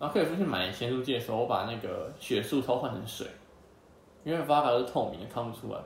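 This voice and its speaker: Over noticeable background noise, the speaker races along at a very fast pace with lively intonation. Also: man, medium pitch for a man. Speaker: podcast host. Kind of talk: casual chat. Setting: at guests' home.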